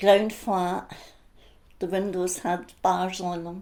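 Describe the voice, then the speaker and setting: In an Edinburgh accent, a woman of medium pitch speaks fairly slowly with monotone, flat intonation and a dark, mellow tone. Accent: Scottish (Edinburgh). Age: 80s+. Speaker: interviewee sharing childhood memories. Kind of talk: oral history interview.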